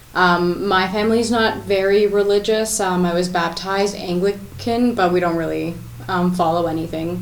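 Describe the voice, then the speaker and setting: With a Canadian accent and fairly even intonation, a woman talks over noticeable background noise and audible room echo. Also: medium pitch for a woman, moderate pace. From Scarborough, Ontario, Canada. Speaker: interview guest. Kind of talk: TV interview. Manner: hesitant, many fillers.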